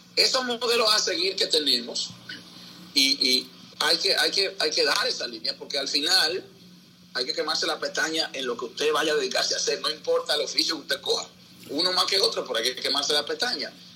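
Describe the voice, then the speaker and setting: Noticeable background noise beneath a fairly quick pace of talk. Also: man. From Dominican Republic, Santo Domingo (Capotillo). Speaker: sports broadcaster. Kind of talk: casual interview. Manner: halting, with many repetitions.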